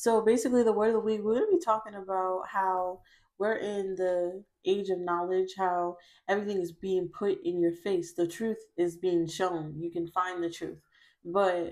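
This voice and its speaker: With a quiet background, a woman speaks at a moderate speed, her intonation fairly even. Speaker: tarot reader. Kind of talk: casual vlog chat. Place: home room.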